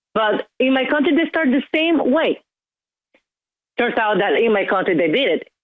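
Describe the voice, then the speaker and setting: A woman with a Venezuelan accent at a moderate pace, with very wide pitch swings. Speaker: caller. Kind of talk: call-in talk radio.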